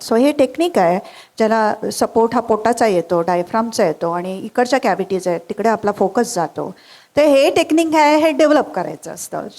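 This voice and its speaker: A woman's fairly high voice makes very wide pitch swings. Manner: relaxed, explanatory.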